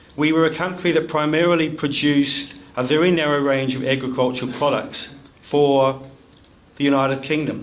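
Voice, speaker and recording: A man with a New Zealand accent, fairly high pitch and ordinary pitch variation at a moderate pace, amid noticeable background noise and audible room echo. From New Zealand (rural Nelson). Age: 60s. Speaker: education academic. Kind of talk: speech to a club audience. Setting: room with audience.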